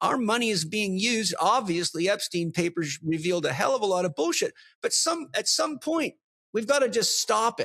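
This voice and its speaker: In a dry, close sound with no echo, a man speaks at a moderate pace in a high pitch, his tone animated, bright and sharp, and his intonation lively. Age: 60s. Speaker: podcast host. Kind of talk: casual chat.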